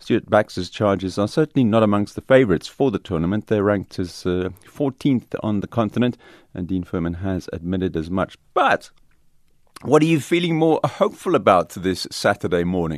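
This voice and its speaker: A man with a South African accent, fairly low pitch, lively intonation and a fairly quick pace, dry, close sound with no echo against a quiet background. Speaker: radio presenter. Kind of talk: live radio current affairs show. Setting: radio studio.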